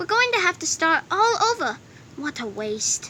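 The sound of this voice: Putting on a character voice, a woman speaks at an extremely high pitch with a bright, sharp tone. Her pitch swings widely at a moderate pace.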